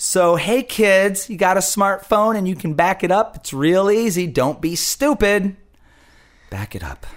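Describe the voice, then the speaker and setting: A man talks at a fairly slow pace with a high pitch and ordinary pitch variation, his loudness swinging widely. The recording is very clean, with a silent background. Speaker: podcast host and musician. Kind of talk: casual chat. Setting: studio.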